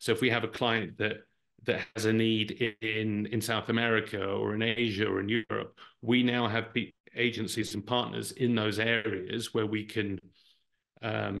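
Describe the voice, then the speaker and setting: In an English accent, a man with vocal fry speaks at a moderate pace, fairly low-pitched and flat in a monotone. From Brazil. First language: Portuguese. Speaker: marketing executive. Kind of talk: interview answer.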